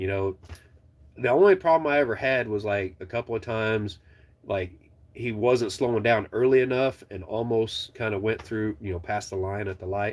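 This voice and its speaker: Recorded very cleanly against a silent background, a man speaks at a moderate pace and medium pitch with ordinary pitch variation. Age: 40s. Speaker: truck driver trainer and channel owner. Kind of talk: casual live stream chat. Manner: animated, rambling conversational.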